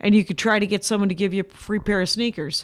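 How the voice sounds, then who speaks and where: A woman speaks with an American accent. The sound is dry and close with no echo, on a very clean recording with a silent background. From US Midwest, Wisconsin. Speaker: stand-up comedian. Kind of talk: casual interview chat.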